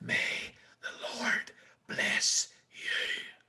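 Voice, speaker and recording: This put-on character voice is extremely high in pitch. It sounds breathy and raspy. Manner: pious, blessing.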